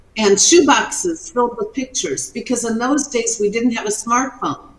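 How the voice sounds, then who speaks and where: A woman speaks in a high pitch. There is noticeable background noise. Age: 70s. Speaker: retired entrepreneur and inventor. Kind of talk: interview.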